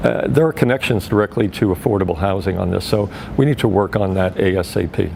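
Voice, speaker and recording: A man talks with an American accent at a fairly low pitch. There is noticeable background noise. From US, New York (Brooklyn). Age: 60s. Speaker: political candidate. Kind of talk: interview.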